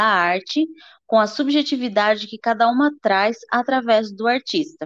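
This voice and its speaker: With a normal speaking voice and a fairly high pitch, a woman speaks at a fairly slow pace. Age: 20s. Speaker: art student. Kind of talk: educational podcast presentation.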